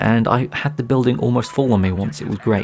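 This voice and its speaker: A man talks at a medium pitch. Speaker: gaming commentator. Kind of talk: gameplay commentary.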